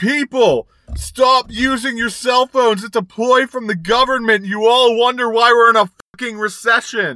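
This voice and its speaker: Shouting in a put-on character voice, a man hits an extremely high pitch with fairly even intonation at a moderate pace. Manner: screaming, ranting.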